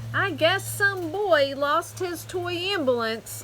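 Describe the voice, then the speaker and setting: In a put-on character voice, a woman speaks with a high pitch at a fairly slow pace. Clear background noise is present. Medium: read story. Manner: grumbling.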